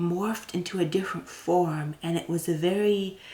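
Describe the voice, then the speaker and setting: Soft-spoken and whispering, a woman keeps a moderate pace against noticeable background noise. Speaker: tarot reader. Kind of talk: pick-a-card tarot reading. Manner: soft-spoken, whispered.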